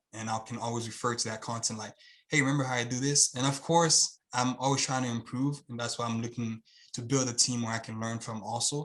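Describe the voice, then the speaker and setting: With a Haitian accent, the speaker talks at a fairly quick pace using fairly even intonation. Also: man, medium pitch for a man. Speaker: YouTube channel creator, student of the program. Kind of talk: interview. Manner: fast pace.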